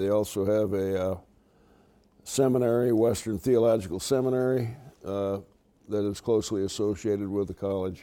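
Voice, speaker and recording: In an American accent, a man with a fairly low voice and a dark, mellow tone talks at a moderate pace with fairly even intonation and long, frequent pauses. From Michigan, US Midwest (Muskegon). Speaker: retired orthopedic surgeon. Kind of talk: interview. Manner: halting, many filler words.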